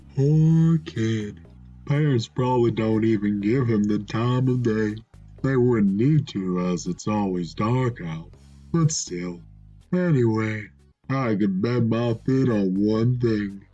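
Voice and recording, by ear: A man performs a put-on character voice at a medium pitch and a fairly slow pace. Faint music plays in the background.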